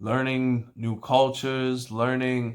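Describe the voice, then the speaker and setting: Speaking at a fairly slow pace and a medium pitch, a man comes through on a very clean recording with a silent background. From New York. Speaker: barber. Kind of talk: tutorial. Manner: casual.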